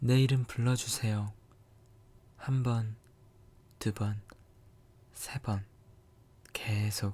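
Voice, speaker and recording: In a dark, mellow, somewhat breathy voice, a man speaks very slowly and flatly in a monotone, with long, frequent pauses. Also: medium pitch for a man. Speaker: ASMR creator. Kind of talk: scripted romantic ASMR monologue, whispered. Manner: soft, intimate, slow, tender.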